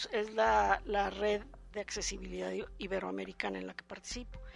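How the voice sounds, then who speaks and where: A woman speaks against a quiet background. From Mexico, San Luis Potosí. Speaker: architect and university lecturer. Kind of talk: interview. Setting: office.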